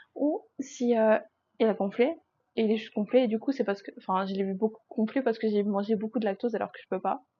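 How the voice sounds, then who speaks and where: This woman speaks at a fairly high pitch with ordinary pitch variation. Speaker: vlogger. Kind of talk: casual vlog monologue. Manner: loud; chatty, hesitant with fillers. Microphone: sounds quiet on mic.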